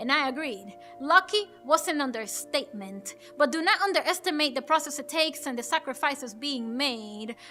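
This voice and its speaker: A woman's raised, projected voice, high-pitched and lively in intonation, at a moderate pace with hardly any pauses and music in the background. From Dominican Republic. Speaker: poet and actress. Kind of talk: spoken word poetry performance.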